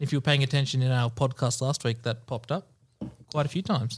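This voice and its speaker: A man with an Australian accent sounds somewhat breathy. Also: very clean recording, silent background. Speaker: sports trivia quiz master. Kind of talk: quiz reading.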